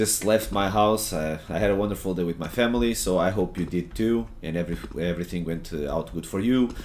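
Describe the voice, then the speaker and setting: A man speaks at a fairly quick pace in a very deep, low voice with ordinary pitch variation. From Portugal. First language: Portuguese. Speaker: gaming streamer and coach. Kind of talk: gameplay tutorial. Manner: hesitant, many fillers and repetitions.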